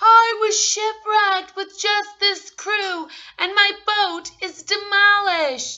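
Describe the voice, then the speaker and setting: A woman's squeaky, put-on character voice, extremely high in pitch, at a fairly slow pace. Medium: read story.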